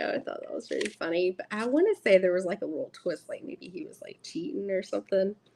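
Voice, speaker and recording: A woman with an American accent. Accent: Southern US, stronger than usual. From US South. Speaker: tarot content creator. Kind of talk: live stream unboxing chat. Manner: casual, chatty.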